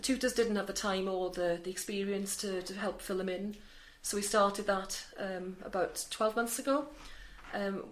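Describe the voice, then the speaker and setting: A woman of medium pitch with a Welsh accent, at a fairly quick pace with fairly even intonation. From Wales. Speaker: charity centre manager. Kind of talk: interview.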